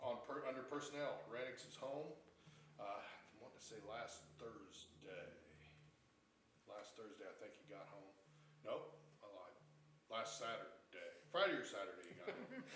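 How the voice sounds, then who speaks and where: A man at a moderate pace, with big swings in loudness, long and frequent pauses, and audible room echo. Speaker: police officer. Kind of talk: council meeting report. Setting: town council meeting room.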